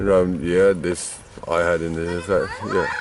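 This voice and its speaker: A man is speaking. Background noise is noticeable. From Netherlands, other Dutch region. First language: Dutch. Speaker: vlogger and museum volunteer musician. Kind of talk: casual vlog, reading signs aloud.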